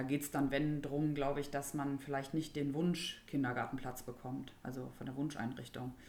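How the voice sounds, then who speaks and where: A woman's very deep, low voice, dark and mellow in tone, with monotone, flat intonation at a moderate pace and audible room echo. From Germany, Rhineland (Burscheid). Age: 30s. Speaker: young mother, local resident. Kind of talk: casual interview. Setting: at home in dining room.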